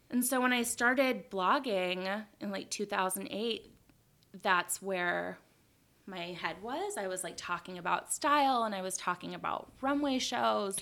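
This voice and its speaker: On a very clean recording with a silent background, a woman with an American accent speaks at a fairly slow pace, her medium-pitched voice bright and sharp in tone, with lively intonation. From Los Angeles, US West Coast. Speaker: fashion blogger and designer. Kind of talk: casual interview.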